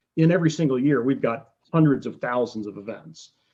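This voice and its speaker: A fairly high-pitched man's voice at a fairly quick pace with ordinary pitch variation. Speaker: oceanographer giving a talk. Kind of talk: lecture. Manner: fast; halting, many fillers and repetitions.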